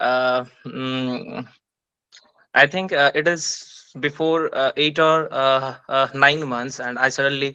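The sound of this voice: At a slow pace, a man speaks at medium pitch with fairly even intonation and a clear, smooth, bright, sharp tone.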